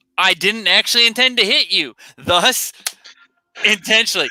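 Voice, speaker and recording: Loud and animated, a man with a high voice talks fairly quickly, the sound dry and close with no echo. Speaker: live stream co-host. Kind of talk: casual chat. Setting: live stream.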